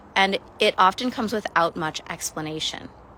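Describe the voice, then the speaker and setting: A woman's voice with a bright, sharp tone. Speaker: spiritual mentor. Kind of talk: livestream monologue. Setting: livestream. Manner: fast; halting.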